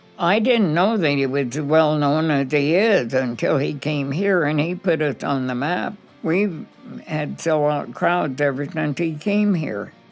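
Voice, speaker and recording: With music in the background, a woman speaks with an American accent at a fairly slow pace. Her pitch is very deep and low, with lively intonation. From Boulder, Colorado. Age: 80s+. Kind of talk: interview answer.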